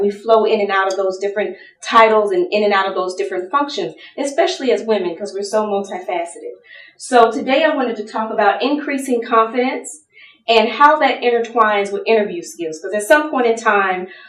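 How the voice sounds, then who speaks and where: Fairly quick speech from a woman with an American accent, fairly high in pitch, with ordinary pitch variation over noticeable background noise. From US South. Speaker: lawyer and pageant titleholder speaker. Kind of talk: seminar talk.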